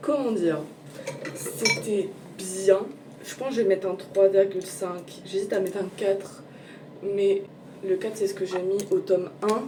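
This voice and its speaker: At a fairly slow pace and with long, frequent pauses, a woman of medium pitch speaks amid audible room echo and noticeable background noise. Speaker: book vlogger. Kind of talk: casual vlog. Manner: casual, hesitant with fillers.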